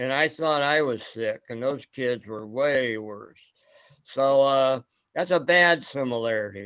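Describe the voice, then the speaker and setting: A man speaks at a medium pitch with a Midwestern American accent. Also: ordinary pitch variation. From US Midwest, Fort Wayne, Indiana. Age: 70s. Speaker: forum host. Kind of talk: casual group discussion. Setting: video call.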